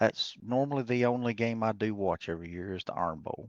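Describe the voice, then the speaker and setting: The voice carries an Alabama accent, and the sound is dry and close with no echo. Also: man. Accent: Southern US (Alabama). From US South, Alabama. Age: 60s. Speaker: race car builder. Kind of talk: casual interview chat.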